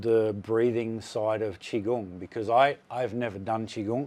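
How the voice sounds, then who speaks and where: Speaking in an Australian accent, a man moves at a fairly slow pace with flat, monotone intonation. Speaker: surf technique coach. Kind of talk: interview question.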